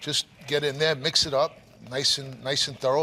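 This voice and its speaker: A fairly high-pitched man in a Brooklyn accent, at a moderate pace with monotone, flat intonation. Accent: Brooklyn New York. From Brooklyn, New York. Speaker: restaurant owner and cook. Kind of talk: TV cooking demo and interview.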